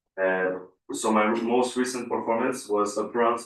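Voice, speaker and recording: A man's medium-pitched voice with ordinary pitch variation at a moderate pace, with audible room echo. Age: 20s. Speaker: Olympic weightlifter. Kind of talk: interview at council meeting. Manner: hesitant, many fillers.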